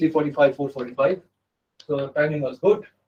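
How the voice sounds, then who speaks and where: A man's fairly high voice with a dark, mellow tone and fairly even intonation. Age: 70s. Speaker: physics professor. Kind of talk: lecture. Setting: lecture hall with audience. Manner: fast.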